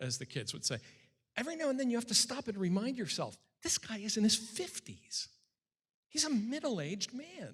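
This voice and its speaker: A man with an American accent speaks at an extremely high pitch and a fairly quick pace. His pitch swings very widely. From Western Massachusetts. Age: 60s. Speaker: political scientist and author. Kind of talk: Q&A after a public lecture.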